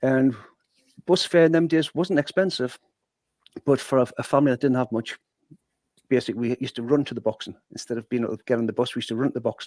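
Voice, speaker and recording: In a Geordie accent, the speaker goes at a very fast pace with ordinary pitch variation and long, frequent pauses, recorded dry and close with no echo. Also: man, medium pitch for a man. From northeast England, Newcastle (Newburn). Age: 60s. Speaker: former boxer and sales manager. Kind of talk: podcast interview, life story. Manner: animated storytelling.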